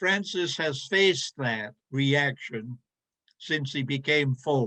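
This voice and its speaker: Very slowly, a man speaks in a fairly high pitch with a bright, sharp tone. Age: 80s+. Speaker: theology professor. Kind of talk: academic panel Q&A. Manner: halting, many repetitions.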